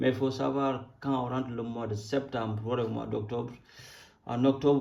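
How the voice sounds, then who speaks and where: A man with a Senegalese accent, monotone, flat intonation and audible room echo. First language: Wolof (speaking French). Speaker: crypto YouTuber. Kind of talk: casual market commentary. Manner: halting.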